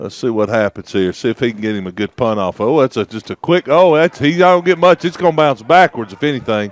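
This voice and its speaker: With a Southern US accent, a man speaks at a medium pitch and a fairly quick pace, his intonation lively and the sound dry and close with no echo. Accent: country Southern. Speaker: sports commentator. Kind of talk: live commentary. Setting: commentary booth. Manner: animated.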